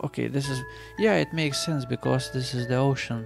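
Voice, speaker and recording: Music in the background behind a man at a medium pitch, with ordinary pitch variation and a calm, relaxed tone. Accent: non-native. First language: not English. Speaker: gamer. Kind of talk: casual gameplay commentary. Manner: calm, low-key, relaxed; subdued, unexcited.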